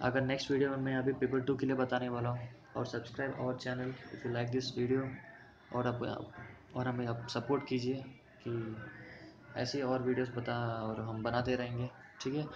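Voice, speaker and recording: With long, frequent pauses, a man speaks in a monotone, flat intonation at a medium pitch, with audible room echo and noticeable background noise. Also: moderate pace. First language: not Hindi (speaking Hindi). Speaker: exam coaching teacher. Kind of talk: tutorial. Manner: mixes Hindi with English, halting Hindi.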